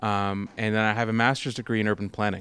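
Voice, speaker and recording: At a fairly quick pace, a man with a Canadian accent and an ordinary speaking voice talks in a fairly low pitch, captured in a very clean recording with a silent background. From Peterborough, Ontario, Canada. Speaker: author and food journalist. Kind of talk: interview. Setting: public library.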